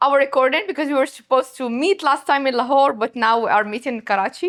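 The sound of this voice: Fast and high-pitched, a woman talks with a fairly bright tone. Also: ordinary pitch variation.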